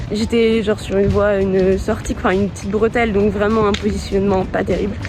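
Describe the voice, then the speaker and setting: Over music in the background, a woman talks at a fairly quick pace in a monotone, flat intonation. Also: medium pitch for a woman. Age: 20s. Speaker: hitchhiking travel vlogger. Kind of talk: casual talk to camera.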